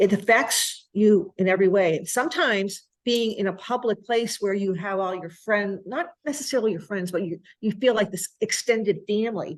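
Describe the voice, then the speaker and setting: A woman with a medium pitch and ordinary pitch variation talks at a moderate pace. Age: 60s. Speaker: restaurant owner. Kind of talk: interview. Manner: halting.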